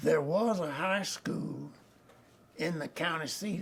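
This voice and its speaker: A man with a Southern US accent speaks at a fairly slow pace, with audible room echo around him. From Arkansas. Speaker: retired judge. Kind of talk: oral history interview. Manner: halting.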